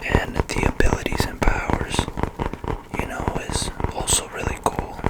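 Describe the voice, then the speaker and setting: A man whispers at a fairly slow pace. Noticeable background noise can be heard behind him. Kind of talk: ASMR video, casual talk to camera. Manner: soft-spoken.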